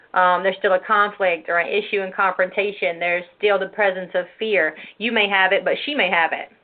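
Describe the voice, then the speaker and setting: A woman's plain, everyday voice at medium pitch, fairly even in intonation, at a fairly quick pace with hardly any pauses. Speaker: women's ministry show host. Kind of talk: religious teaching talk show.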